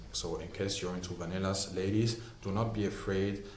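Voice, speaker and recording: A man talks at a moderate pace in a fairly low, monotone, flat voice. Audible room echo and noticeable background noise surround him. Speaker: perfume reviewer. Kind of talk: product review.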